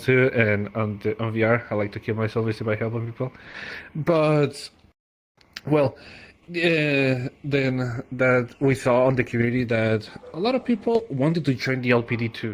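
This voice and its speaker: A man talks at a moderate pace with a Spanish accent. His medium-pitched voice holds fairly even intonation. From Mexico. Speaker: language community organizer. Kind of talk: podcast interview. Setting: VR social platform.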